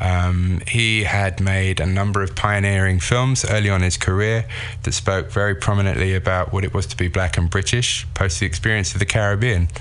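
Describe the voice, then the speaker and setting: Speaking at a fairly quick pace with hardly any pauses, a man with a London accent uses a fairly low pitch and fairly even intonation over noticeable background noise. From London, England. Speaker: sculptor and filmmaker. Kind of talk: interview.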